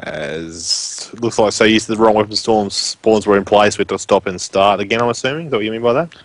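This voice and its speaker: A man with a strong Australian accent speaks at a fairly quick pace, with ordinary pitch variation and hardly any pauses. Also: fairly low pitch for a man. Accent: strong rural Australian. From Australia (rural Western Queensland). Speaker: esports shoutcaster. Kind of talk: live commentary.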